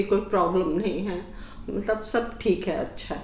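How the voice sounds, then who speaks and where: A woman speaks at a medium pitch with fairly even intonation. Audible room echo and noticeable background noise fill the recording. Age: 60s. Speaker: patient giving a testimonial. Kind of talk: testimonial interview.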